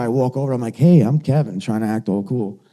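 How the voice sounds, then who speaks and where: A man with a New York accent speaks at a medium pitch with lively intonation. His tone is dark and mellow. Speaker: motivational speaker. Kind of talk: motivational talk. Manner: animated.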